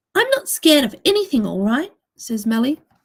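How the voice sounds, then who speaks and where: At a moderate pace, a woman talks with lively intonation in a somewhat breathy voice. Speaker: children's book author. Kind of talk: reading aloud.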